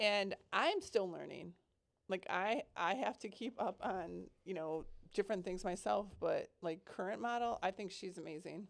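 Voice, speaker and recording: On a very clean recording with a silent background, a woman with an ordinary speaking voice talks at a fairly slow pace and medium pitch in an American accent, with ordinary pitch variation. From US Midwest, Milwaukee. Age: 60s. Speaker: model and confidence coach. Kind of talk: interview.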